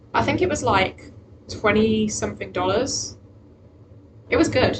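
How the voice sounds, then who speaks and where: A woman talks with a British accent. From Britain. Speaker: vtuber streamer. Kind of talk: casual livestream chat. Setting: home livestream from laptop. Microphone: laptop microphone, unsure of volume.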